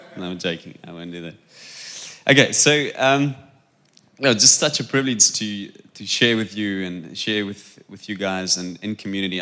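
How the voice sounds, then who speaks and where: Speaking at a moderate pace with a South African accent, a man has a bright, sharp tone on a very clean recording with a silent background. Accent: Afrikaans-accented English. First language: Afrikaans. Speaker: preacher. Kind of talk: sermon. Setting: church.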